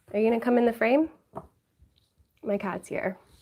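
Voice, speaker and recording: A woman speaks in a New York accent. Her pitch variation is ordinary. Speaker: YouTuber. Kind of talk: livestream chat with viewers.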